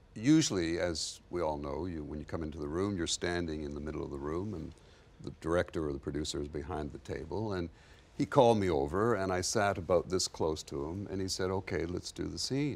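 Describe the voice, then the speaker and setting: A man's very deep, low voice with ordinary pitch variation at a fairly quick pace. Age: 60s. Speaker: actor. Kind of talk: panel discussion.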